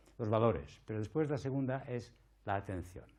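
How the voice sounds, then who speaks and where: Audible room echo surrounds a man's dark, mellow tone as he talks at a fairly quick pace. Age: 60s. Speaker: palliative care doctor and lecturer. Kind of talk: conference talk.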